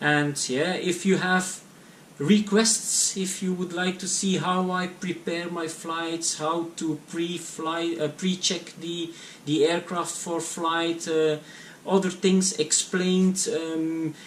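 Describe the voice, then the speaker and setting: Over noticeable background noise, a man speaks very slowly with high pitch and monotone, flat intonation. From Belgium (Flanders). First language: Dutch. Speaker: private pilot vlogger. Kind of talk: casual vlog to camera. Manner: halting, many fillers and repetitions.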